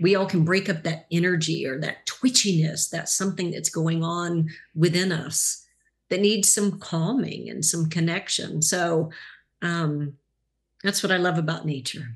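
A woman speaks with a fairly low pitch and a somewhat breathy quality. Her intonation stays fairly even. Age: 50s. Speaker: life coach. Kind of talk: casual chat.

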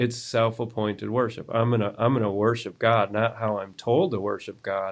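At a moderate pace, a man with an American accent and a plain, everyday voice speaks at medium pitch with fairly even intonation. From US South, South Carolina. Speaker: pastor. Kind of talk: casual Bible discussion.

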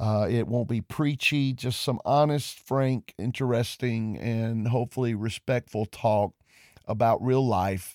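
A man with a Southern US accent speaks at a fairly slow pace in a medium pitch, his intonation fairly even, on a very clean recording with a silent background and a dry, close sound with no echo. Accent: Southern US (Georgia). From US South, Georgia. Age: 50s. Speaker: pastor. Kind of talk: monologue podcast. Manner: hesitant with many fillers.

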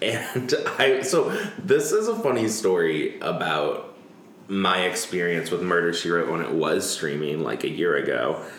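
Speech moves at a fairly slow pace over noticeable background noise. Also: man. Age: 30s. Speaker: podcast host. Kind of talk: casual chat.

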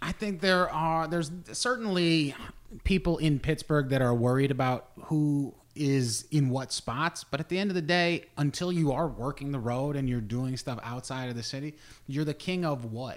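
Fairly high pitch from a man with a plain, everyday voice, ordinary pitch variation, and a moderate pace. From southwest Ohio, between Dayton and Cincinnati. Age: 30s. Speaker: comedian and podcast host. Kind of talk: casual chat.

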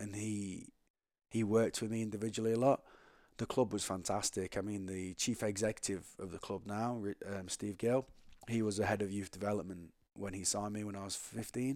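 A man talks at a fairly quick pace with an English accent. His pitch is fairly low and his intonation fairly even. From England. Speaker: former pro rugby player. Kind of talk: casual interview.

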